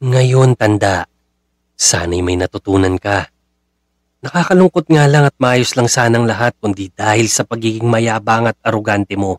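A man with an unremarkable speaking voice talks at medium pitch with ordinary pitch variation, in a dry, close sound with no echo. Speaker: horror story narrator. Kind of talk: true-crime horror narration, read from a script. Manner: grim, hushed and slow, building dread, then a direct, chilling address to the listener.

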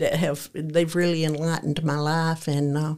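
A woman with a Tennessee accent and a very deep, low pitch, talking at a fairly slow pace on a very clean recording with a silent background. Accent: US Southern (Tennessee). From Middle Tennessee, rural. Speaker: host's mother. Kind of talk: casual interview.

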